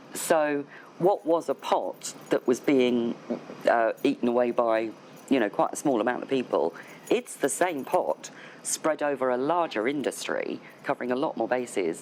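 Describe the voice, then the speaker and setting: A woman with a very deep, low voice speaks at a moderate pace with lively intonation and very even loudness. Noticeable background noise is present. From United Kingdom. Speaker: voice over agent. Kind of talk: interview answer.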